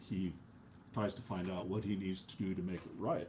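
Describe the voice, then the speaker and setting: Audible room echo surrounds a man's very deep, low voice, dark and mellow in tone and somewhat breathy. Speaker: preacher. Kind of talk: sermon. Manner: halting, many filler uhs.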